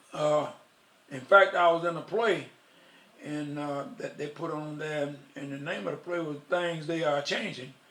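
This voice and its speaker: A man with an American accent speaks in a fairly high voice with ordinary pitch variation and big swings in loudness. Audible room echo and noticeable background noise come through. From US South, Union, South Carolina. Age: 80s+. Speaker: war veteran. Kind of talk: oral history interview.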